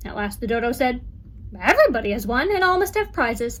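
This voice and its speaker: A woman talks very fast in a high, put-on character voice. Background noise is clearly audible. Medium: read story. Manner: grave, ceremonious.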